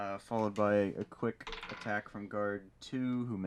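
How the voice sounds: The speaker reads in a natural reading voice, keeping the intonation fairly even.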